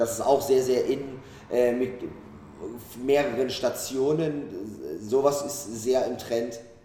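A man at a very slow pace, fairly even intonation, and audible room echo. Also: medium pitch for a man. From Saxony, Germany (Dresden). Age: 30s. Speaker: chef and restaurant owner. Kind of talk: interview. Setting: restaurant.

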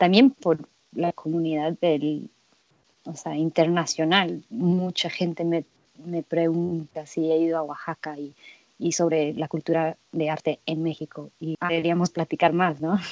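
A woman speaks at a fairly low pitch. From Mexico-US border region. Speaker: guest co-host interviewer. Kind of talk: interview.

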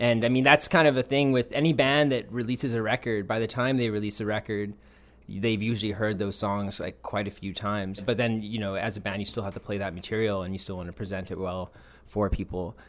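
In a normal speaking voice, a man talks at a fairly quick pace with fairly low pitch and ordinary pitch variation, on a very clean recording with a silent background. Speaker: musician. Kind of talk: casual chat. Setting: band's kitchen.

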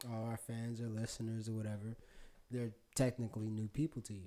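Delivered with fairly even intonation, the voice has a dark, mellow tone. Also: man. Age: 20s. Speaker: podcast host. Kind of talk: casual chat.

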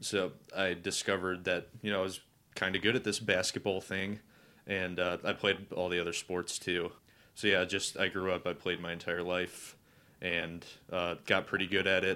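Over a very clean recording with a silent background, a man in a Northern Ohio accent speaks at a moderate pace, his very deep, low voice bright and sharp in tone and flat and monotone in intonation. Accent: Northern Ohio, general American. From Cleveland, Ohio. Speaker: guest. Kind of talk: casual chat.

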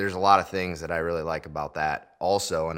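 A man with an American accent, bright and sharp in tone, with fairly even intonation. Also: very clean recording, silent background. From Iowa, US Midwest. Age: 30s. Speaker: seed dealer. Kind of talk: casual interview. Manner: hesitant, many fillers.

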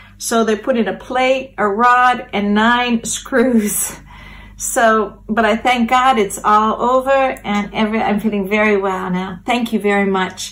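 The speaker has a normal speaking voice and a fairly slow pace. The intonation stays fairly even. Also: woman, fairly high pitch for a woman. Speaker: missionary. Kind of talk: testimony. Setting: recorded video message.

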